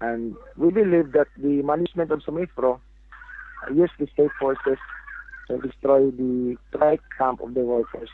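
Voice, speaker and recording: Noticeable background noise accompanies a man talking at a moderate pace with ordinary pitch variation and long, frequent pauses. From Philippines, Mindanao. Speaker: union leader, striking plantation worker. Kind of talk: interview. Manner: halting.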